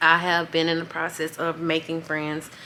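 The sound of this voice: A woman speaks at a moderate pace with monotone, flat intonation, a low pitch, and a bright, sharp tone.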